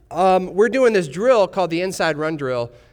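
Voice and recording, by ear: A man talks at a moderate pace in a clear, smooth tone.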